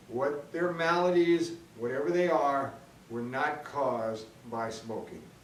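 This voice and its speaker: A man speaks very slowly, with audible room echo and noticeable background noise. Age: 60s. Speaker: video blogger, smokers' rights advocate. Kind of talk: opinion monologue. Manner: hesitant, many fillers; blunt, combative.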